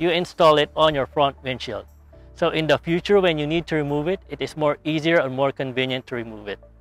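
Faint music plays in the background as a man talks at a fairly quick pace with ordinary pitch variation and a dry sound with no echo. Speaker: how-to channel host. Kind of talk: tutorial. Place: street. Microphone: lapel.

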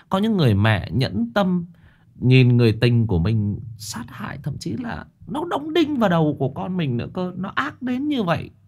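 Somewhat breathy, a man speaks at a fairly slow pace with very wide pitch swings. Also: quiet background. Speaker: horror story narrator, live streamer. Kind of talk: story introduction commentary. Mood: earnest, indignant. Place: home room. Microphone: studio mic.

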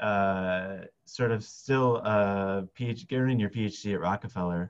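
A man speaks with fairly low pitch and fairly even intonation. The background is quiet. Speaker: biologist and science filmmaker. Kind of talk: interview conversation. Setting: video call. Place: office. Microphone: headset.

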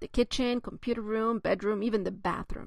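A woman with a non-native accent speaks at a moderate pace in a fairly high pitch over a quiet background. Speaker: author; mother of a child with a skin disease. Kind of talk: memoir reading.

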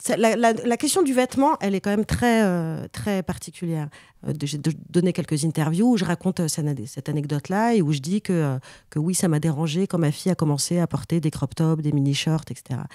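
With a dark, mellow tone and fairly low pitch, a woman speaks at a moderate pace with lively intonation, the sound dry and close with no echo in a very clean recording against a silent background. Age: 40s. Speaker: journalist and author. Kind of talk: interview.

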